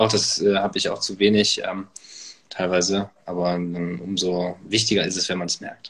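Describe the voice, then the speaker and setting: A man's very deep, low voice in a monotone, flat delivery at a moderate pace. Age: 20s. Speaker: author and medical student. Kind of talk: casual interview. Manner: many filler words.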